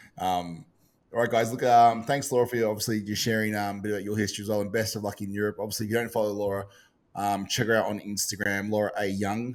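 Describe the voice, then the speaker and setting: On a very clean recording with a silent background, the speaker talks at a very fast pace with an Australian accent and monotone, flat intonation. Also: man, fairly low pitch for a man. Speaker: podcast host and bodybuilding competitor. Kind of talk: casual chat. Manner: halting, many fillers.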